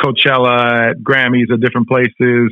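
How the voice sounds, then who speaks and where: In a Spanish accent, a man speaks at a medium pitch with monotone, flat intonation. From Argentina. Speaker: TV director and journalist. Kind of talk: interview. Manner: many fillers and repetitions.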